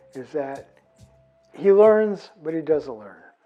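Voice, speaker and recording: With music in the background, a man with an American accent talks in a relaxed tone at a very slow pace, making very wide pitch swings. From US Pacific Northwest, Nez Perce. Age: 60s. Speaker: artist and former park ranger. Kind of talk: interview testimony. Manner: relaxed, with frequent fillers.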